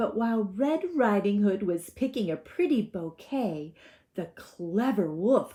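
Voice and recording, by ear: The speaker reads aloud in a natural voice with lively intonation.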